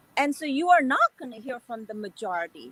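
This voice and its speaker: A woman with a high pitch is heard in a dry, close recording with no echo, though noticeable background noise is present. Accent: American. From Korean American community, US. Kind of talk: panel discussion.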